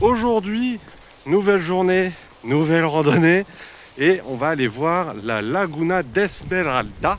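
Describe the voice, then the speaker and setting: A man's high-pitched voice at a very slow pace, with lively intonation. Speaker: travel vlogger. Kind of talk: travel vlog narration. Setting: outdoors. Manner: casual, hesitant.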